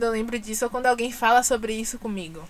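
Over noticeable background noise, a woman talks in a high voice at a fairly quick pace. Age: 30s. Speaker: journalist and press officer. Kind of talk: casual chat.

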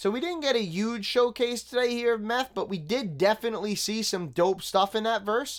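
On a very clean recording with a silent background, a man with a New York accent and high pitch speaks at a moderate pace with hardly any pauses and ordinary pitch variation. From Staten Island, New York City. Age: 30s. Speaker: podcast host reviewing hip hop. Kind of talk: casual solo commentary.

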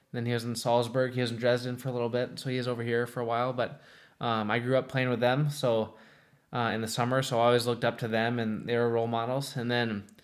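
In a very clean recording with a silent background, a man with an American accent speaks very fast in a medium pitch with monotone, flat intonation. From Minnesota, US Midwest. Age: 20s. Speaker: ice hockey goaltender. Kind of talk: interview.

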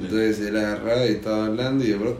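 A man with a Rioplatense accent, fairly low-pitched and flat, at a moderate pace, with audible room echo. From Argentina. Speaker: podcast host. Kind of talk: casual chat.

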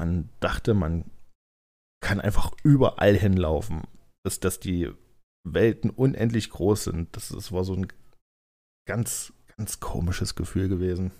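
Speaking at a very slow pace, a man uses a very deep, low pitch. His speech has long, frequent pauses and ordinary pitch variation. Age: 30s. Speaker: podcaster and gamer. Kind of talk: casual solo monologue. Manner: hesitant, many fillers.

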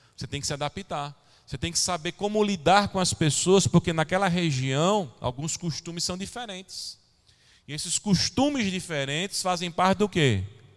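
A man speaks at a moderate pace with a high pitch and lively intonation, on a very clean recording with a silent background. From São Paulo, Brazil. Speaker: pastor. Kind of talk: sermon. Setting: church.

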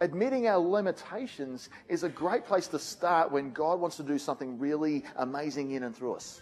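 In an Australian accent, a man with a fairly high pitch speaks at a moderate pace with lively intonation and hardly any pauses. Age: 40s. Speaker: pastor. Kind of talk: sermon.

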